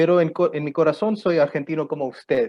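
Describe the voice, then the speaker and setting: A man speaks with a non-native accent. His pace is fairly quick. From Pakistan. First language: not Spanish (speaking Spanish). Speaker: economist and lecturer. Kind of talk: lecture. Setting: university conference. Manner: halting, with many fillers.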